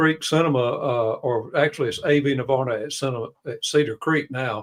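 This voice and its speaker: Ordinary pitch variation from a man speaking in a Southern US accent. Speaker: live stream co-host. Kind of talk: live stream panel discussion.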